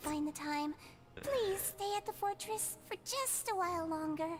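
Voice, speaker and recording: A female-sounding put-on character voice with an extremely high pitch speaks at a moderate pace over clear background noise. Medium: video game. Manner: talks about self in third person.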